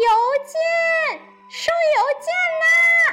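A shrill, squeaky put-on character voice sits at an extremely high pitch with very wide pitch swings. Music plays clearly in the background. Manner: calling out loudly.

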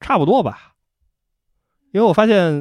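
A man with lively intonation. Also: very clean recording, silent background. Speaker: host's husband, first-time podcast guest. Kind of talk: casual chat. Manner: terse, reluctant talker.

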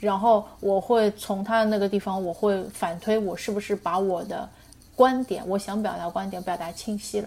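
Her intonation stays fairly even at a medium pitch. The woman, using an ordinary speaking voice, keeps a moderate tempo. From Shanghai, China. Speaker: writer. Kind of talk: casual interview chat. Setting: remote call.

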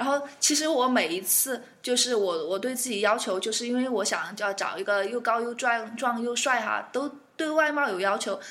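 A woman speaks at a moderate pace with ordinary pitch variation, and audible room echo surrounds her voice. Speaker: aviation worker, guest co-host. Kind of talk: casual chat.

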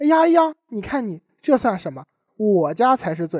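With a Tianjin accent, a man talks at a moderate pace against a quiet background. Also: dry, close sound with no echo. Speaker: student radio host. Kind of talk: scripted comedic banter. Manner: animated.

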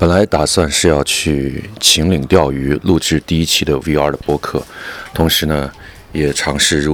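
Monotone, flat delivery over noticeable background noise. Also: man. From Wuhan, China. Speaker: podcast host. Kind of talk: audio diary monologue. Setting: at home during lockdown.

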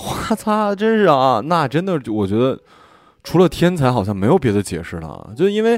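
Very wide pitch swings mark this man's fairly high voice. He speaks at a moderate pace. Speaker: radio podcast host. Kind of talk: casual chat. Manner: broadcaster-style delivery.

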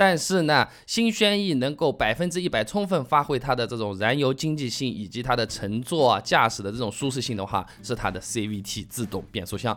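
Speaking fairly quickly with a southern Chinese accent, a man sounds animated, his intonation lively. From southern China. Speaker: car podcast host. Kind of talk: casual listener Q&A monologue.

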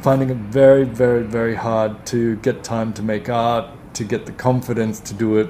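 Over noticeable background noise, a man with an Australian accent talks at a moderate pace in a medium pitch with flat, monotone intonation. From Australia, Melbourne. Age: 30s. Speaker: art advisor. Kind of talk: interview.

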